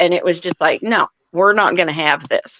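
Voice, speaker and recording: Its pitch varies in an ordinary way, and it is a plain, everyday voice. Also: woman. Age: 60s. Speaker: livestreamer. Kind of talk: casual chat. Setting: live stream.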